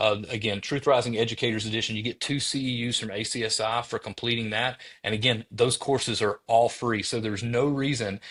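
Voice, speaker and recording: Over a quiet background, a man with a strong Southern US accent speaks at a fairly quick pace and a medium pitch, his intonation monotone and flat. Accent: thick Southern US. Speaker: former teacher, educator specialist. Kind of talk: interview podcast.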